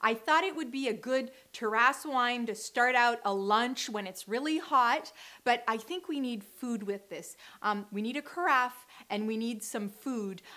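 Delivered at a fairly slow pace, the voice has a bright, sharp tone and ordinary pitch variation. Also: woman, high pitch for a woman. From Canada. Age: young. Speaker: wine blogger. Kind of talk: wine tasting talk to camera. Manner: energetic, frank; casual, hesitant. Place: studio.

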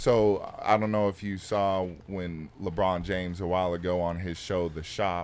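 At a fairly slow pace, a man talks in a very deep, low voice with fairly even intonation. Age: 20s. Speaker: pro football player. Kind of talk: casual chat. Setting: studio on a bus. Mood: animated, arguing a point. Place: studio. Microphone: studio mic.

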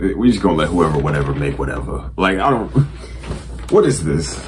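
A man speaks while noticeable background noise plays behind him. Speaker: youtuber. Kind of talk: casual vlog chat, reaction commentary. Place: home room. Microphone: phone near.

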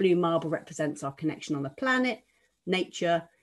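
In a quiet background, a woman with a fairly low pitch speaks at a fairly quick pace in an ordinary speaking voice. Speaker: coach leading reflection session. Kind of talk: guided meditation. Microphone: video call.

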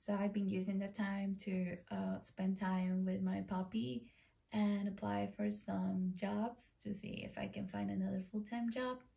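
A woman talks in an Ecuadorian accent. Her pace is fairly slow. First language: Spanish. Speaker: vlogger. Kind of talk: casual vlog talk to camera. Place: home room. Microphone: camera far.

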